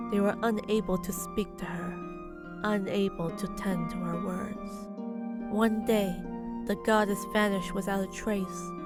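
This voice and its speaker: Music plays in the background as a woman talks at a fairly slow pace. Her pitch sits in the medium range. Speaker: voice actor. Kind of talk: fantasy story narration. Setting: home recording, poor audio quality. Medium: audio drama.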